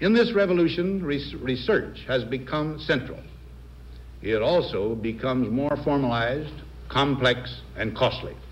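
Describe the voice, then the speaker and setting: A man speaks with an American accent and lively intonation. Vocal fry runs through his voice. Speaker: president giving a televised farewell address. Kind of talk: formal televised presidential address. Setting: 1961 broadcast recording.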